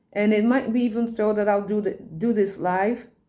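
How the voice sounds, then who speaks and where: A woman's fairly high-pitched voice with a Dutch accent at a fairly slow pace. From Netherlands, Rotterdam. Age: 40s. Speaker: tarot reader and poet. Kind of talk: casual monologue, podcast. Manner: halting.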